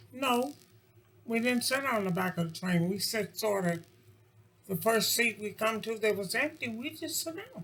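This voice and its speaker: A woman speaks at a moderate pace with an American accent, her pitch fairly high and her intonation lively. Noticeable background noise runs underneath. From Kentucky, US South. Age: 80s+. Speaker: interviewee. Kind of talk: casual chat.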